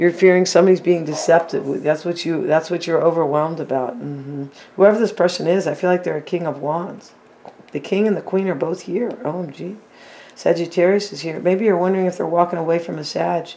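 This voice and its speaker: Amid noticeable background noise, a woman talks at a fairly quick pace with fairly low pitch and fairly even intonation. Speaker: tarot reader. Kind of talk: tarot reading.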